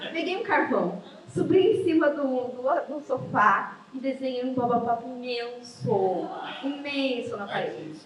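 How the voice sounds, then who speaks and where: High-pitched woman's voice with very wide pitch swings at a fairly slow pace, amid noticeable background noise and audible room echo. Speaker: writer and creative writing professor. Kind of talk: interview conversation.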